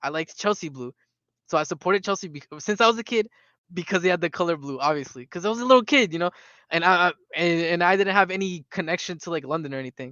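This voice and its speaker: Very fast and high-pitched, a man with a Spanish accent speaks with ordinary pitch variation. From South America. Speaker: football fan streamer. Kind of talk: live stream chat reading comments. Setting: live stream.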